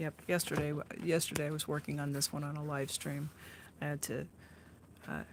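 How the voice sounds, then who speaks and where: This woman has a very deep, low voice. She speaks with an American accent. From Oregon, US Pacific Northwest. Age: 60s. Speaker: artist and live-stream host. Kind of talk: casual chat while painting on a live stream. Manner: relaxed, with many fillers and restarts.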